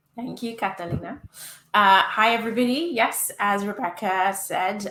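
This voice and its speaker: With noticeable background noise behind her, a woman of medium pitch speaks at a moderate pace with ordinary pitch variation. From UK. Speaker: user experience director, panelist. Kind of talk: panel discussion.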